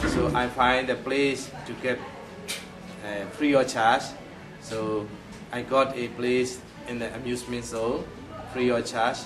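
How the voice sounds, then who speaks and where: Over music in the background and with audible room echo, a man speaks in a medium pitch at a very slow pace, his intonation monotone and flat. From Myanmar. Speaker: puppet theater director. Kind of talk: interview. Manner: halting.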